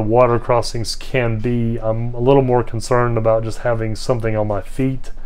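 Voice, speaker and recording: A man's monotone, flat delivery at a moderate pace, with audible room echo. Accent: American. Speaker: hiking vlogger. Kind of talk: casual vlog monologue. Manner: mumbling at times; hesitant, many fillers.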